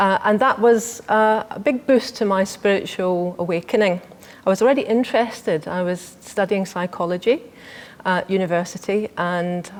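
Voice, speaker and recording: With a Scottish accent, a woman talks at a medium pitch. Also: ordinary pitch variation, moderate pace. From Scotland. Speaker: inner wisdom coach and meditation teacher. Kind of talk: TV interview.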